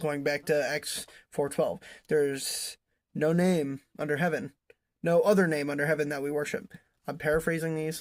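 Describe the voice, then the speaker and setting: At a moderate pace, a man with a fairly high pitch speaks with fairly even intonation on a very clean recording with a silent background. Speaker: bible teacher. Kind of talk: bible study commentary. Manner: halting.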